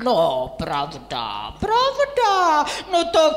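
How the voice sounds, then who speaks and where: A cartoonish character voice comes across with a theatrical tone. There is clear echo around it. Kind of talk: children's puppet theatre. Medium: puppet show. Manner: theatrical, drawling with filler 'no'.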